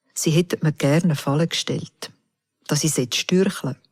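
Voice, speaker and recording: A woman speaks with a Swiss German accent. Her tone is solemn. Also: dry, close sound with no echo. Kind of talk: psalm reading. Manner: slow, solemn.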